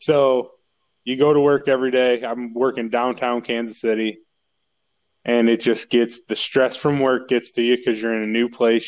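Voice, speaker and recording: Speaking with a northern Illinois accent, a man uses a medium pitch and a moderate pace. His intonation is monotone and flat, with long, frequent pauses. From northern Illinois, south of Chicago. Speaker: guest sharing his mental health story. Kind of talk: casual chat.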